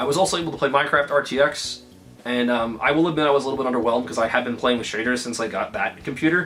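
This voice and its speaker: Music plays behind a man who speaks very fast at a medium pitch with ordinary pitch variation. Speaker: gaming YouTuber. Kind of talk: casual vlog. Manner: stuttering from excitement.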